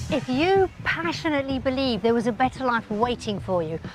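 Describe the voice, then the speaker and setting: With music in the background, a woman speaks at a moderate pace in a high pitch, her voice making very wide pitch swings. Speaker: TV documentary narrator. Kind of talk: TV documentary narration.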